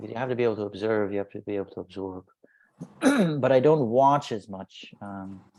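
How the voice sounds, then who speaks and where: Soft-spoken, a man talks at a fairly quick pace in a dark, mellow tone. His loudness swings widely while pitch variation stays ordinary. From Indian (Bunt community, Tulu-speaking). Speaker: actor and social media influencer. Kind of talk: interview. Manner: halting, repeats words.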